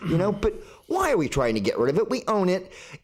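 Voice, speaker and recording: Noticeable background noise sits under very fast, animated speech in an American accent with lively intonation. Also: man. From Florida (Melbourne). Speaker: public commenter at city council. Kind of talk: public comment at council meeting. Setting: council chamber, lectern microphone. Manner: casual, animated.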